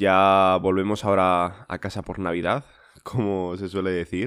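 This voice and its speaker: Very deep and low in pitch, a man talks at a moderate pace. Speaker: podcast host. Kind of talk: casual monologue. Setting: home recording. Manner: halting, repetitive fillers.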